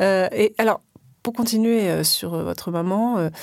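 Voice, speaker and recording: A woman's plain, everyday voice at medium pitch, ordinary pitch variation, very clean recording with a silent background. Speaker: podcast host interviewer. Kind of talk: interview.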